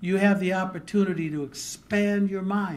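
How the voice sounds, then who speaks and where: At a fairly slow pace, a man speaks in a high pitch. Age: 60s. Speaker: journalist giving a speech. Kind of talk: public speech. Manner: formal.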